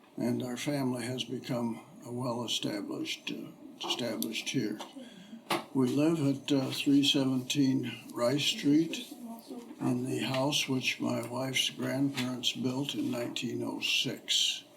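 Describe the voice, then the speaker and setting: Over noticeable background noise, a man with a Midwestern American accent speaks at a fairly slow pace. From Ohio, US Midwest. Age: 80s+. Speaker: retired businessman, local resident interviewee. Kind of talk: oral history interview. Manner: halting, many fillers.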